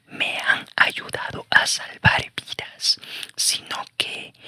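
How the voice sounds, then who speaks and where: The speaker is whispering at a very slow pace. The sound is dry and close with no echo. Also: man. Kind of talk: audiobook reading of a nonfiction negotiation memoir. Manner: whispered, soft.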